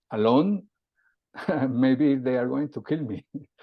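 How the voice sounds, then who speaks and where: In a Colombian accent, a man talks with ordinary pitch variation. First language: Spanish. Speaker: CEO and aerospace safety consultant. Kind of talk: interview conversation. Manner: halting.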